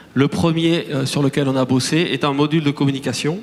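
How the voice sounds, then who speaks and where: With noticeable background noise present, the man's fairly high voice moves at a moderate pace. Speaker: start-up CEO. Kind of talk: conference talk. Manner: hesitant, many fillers and restarts.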